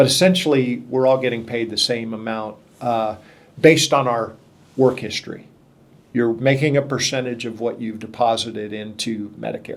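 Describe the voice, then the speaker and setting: A man with a plain, everyday voice speaks at a moderate pace and medium pitch, keeping his intonation fairly even. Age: 60s. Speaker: podcast host. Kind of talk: interview.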